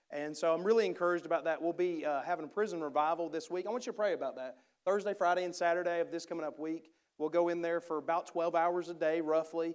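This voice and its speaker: A man's high-pitched voice at a very fast pace, fairly even in intonation, over a quiet background. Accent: strong Southern US. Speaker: missionary preacher. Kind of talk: sermon. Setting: church.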